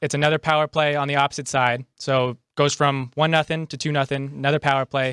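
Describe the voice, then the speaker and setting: The speech is very fast and monotone, with an American accent and hardly any pauses. The recording is very clean with a silent background, dry and close with no echo. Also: man, fairly high pitch for a man. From Chicago.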